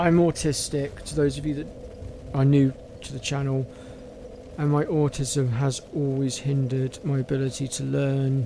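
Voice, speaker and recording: Against noticeable background noise, a man at a fairly high pitch speaks at a moderate pace with fairly even intonation. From southwest England, North Devon. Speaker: gaming streamer. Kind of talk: casual chat. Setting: live stream.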